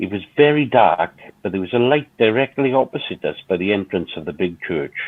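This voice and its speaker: A man at a fairly quick pace, fairly low in pitch, with a normal speaking voice and lively intonation. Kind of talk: ghost story reading.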